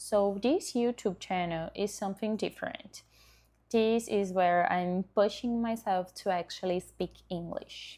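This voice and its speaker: A woman speaks fairly slowly in a dark, mellow tone with fairly even intonation. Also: medium pitch for a woman. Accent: Brazilian. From Brazil. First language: Portuguese. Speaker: dentist and content creator. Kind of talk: vlog self-introduction. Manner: occasionally halting.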